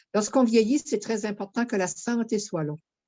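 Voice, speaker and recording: Her pitch rises and falls in an ordinary way. This woman speaks in a medium register. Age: 60s. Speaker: program participant. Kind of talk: casual chat.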